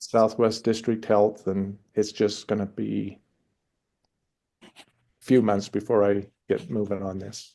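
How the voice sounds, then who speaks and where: A man speaks in a dark, mellow tone with vocal fry and monotone, flat intonation. Long, frequent pauses break up his speech. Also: fairly low pitch for a man, fairly slow pace. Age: 60s. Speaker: participant asking questions in a webinar. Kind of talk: question and answer in a webinar. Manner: halting.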